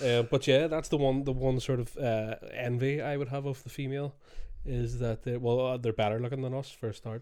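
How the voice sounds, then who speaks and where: With a Scottish accent, a man speaks at a fairly quick pace and medium pitch in a dark, mellow tone with monotone, flat intonation, on a very clean recording with a silent background. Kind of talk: casual banter podcast. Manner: joking, profane, rambling.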